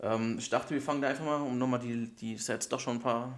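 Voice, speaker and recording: At a fairly quick pace, a man speaks at medium pitch with fairly even intonation and a normal speaking voice. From Germany, Bergstraße district (southern Hesse). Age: 20s. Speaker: football podcast co-host. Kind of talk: casual chat.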